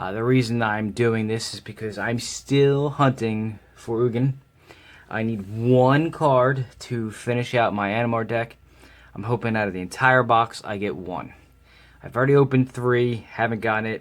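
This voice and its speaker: Fairly even intonation marks this man's medium-pitched voice, delivered at a moderate pace. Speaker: card game unboxing host. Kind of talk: casual talk to camera.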